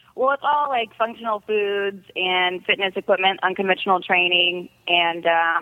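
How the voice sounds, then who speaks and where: Here a woman has an unremarkable speaking voice, medium in pitch, at a moderate pace. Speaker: MMA fighter and former beauty queen. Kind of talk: casual chat. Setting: phone call.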